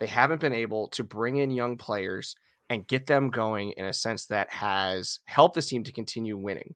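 A man's plain, everyday voice at medium pitch, with ordinary pitch variation and a moderate pace, dry and close with no echo over a quiet background. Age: 30s. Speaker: hockey podcaster. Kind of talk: casual chat.

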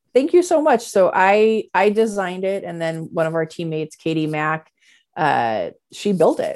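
Over a silent background in a very clean recording, a woman uses a normal speaking voice with a medium pitch, lively intonation, and a moderate pace. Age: 40s. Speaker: CEO of a creative events and education business. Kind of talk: interview.

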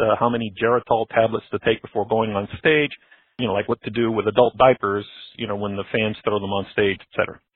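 Speaking with a plain, everyday voice, a man holds a medium pitch with ordinary pitch variation. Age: 60s. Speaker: caller, corporate manager near retirement. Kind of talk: recorded voicemail question.

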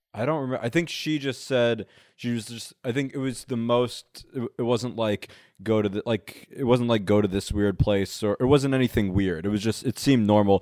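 Speaking at a moderate pace, a man has a medium pitch, ordinary pitch variation and a normal speaking voice. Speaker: comedian. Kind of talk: casual chat. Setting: living room couch.

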